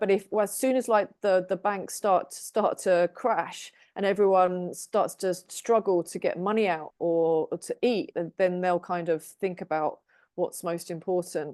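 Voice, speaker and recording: In an English accent, a woman speaks at a moderate pace and medium pitch, with hardly any pauses. Her dark, mellow tone has fairly even intonation against a quiet background. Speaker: tarot reader. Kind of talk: casual group discussion.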